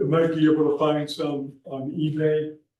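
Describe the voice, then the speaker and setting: A man's fairly high voice carries a dark, mellow tone at a very slow pace. Audible room echo surrounds the recording. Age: 80s+. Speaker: veteran engineer and STEM mentor. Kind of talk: Q&A after a conference talk.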